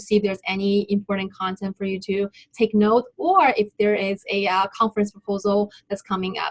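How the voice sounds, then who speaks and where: Here a woman speaks at a fairly quick pace with a non-native accent. Her medium-pitched voice is somewhat breathy. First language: not English. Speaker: graduate student presenter. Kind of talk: webinar presentation. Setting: online webinar.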